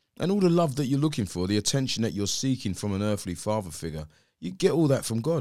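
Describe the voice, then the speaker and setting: This man speaks very fast with a South London accent, his dark, mellow tone swinging very widely in pitch over a very clean recording with a silent background. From South East London. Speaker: pastor and former musician. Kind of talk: interview conversation.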